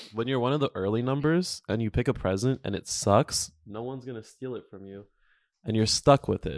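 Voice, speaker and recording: A man with a normal speaking voice talks at a fairly quick pace and medium pitch, with ordinary pitch variation and big swings in loudness, in a dry, close sound with no echo on a very clean recording over a silent background. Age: 20s. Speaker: podcast host. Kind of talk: casual chat.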